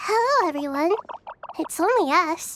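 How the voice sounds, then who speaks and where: Using a put-on character voice, a female-sounding speaker sounds squeaky at an extremely high pitch, with a calm, gentle tone and a moderate pace. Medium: video game.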